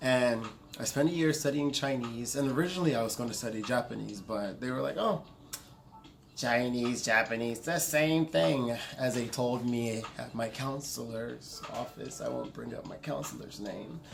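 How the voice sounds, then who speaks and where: A man's voice carries audible room echo. Noticeable background noise sits behind it. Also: medium pitch for a man, ordinary pitch variation, moderate pace. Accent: American. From US South, Augusta, Georgia. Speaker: vlogger. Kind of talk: casual vlog monologue. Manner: rambling, self-correcting.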